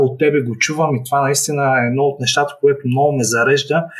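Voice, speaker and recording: A man's fairly high, somewhat breathy voice at a fairly quick pace, with monotone, flat intonation. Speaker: startup founder. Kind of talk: online interview.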